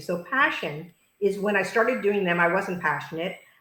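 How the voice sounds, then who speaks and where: A woman speaks with audible room echo. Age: 70s. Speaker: author and fitness speaker. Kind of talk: video interview.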